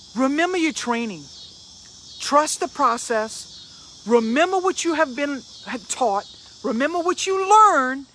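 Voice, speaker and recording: Spoken at a fairly slow pace with a Cajun accent, the clip carries noticeable background noise. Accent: Cajun Louisiana English. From Louisiana. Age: 50s. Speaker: motivational speaker. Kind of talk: motivational live stream talk.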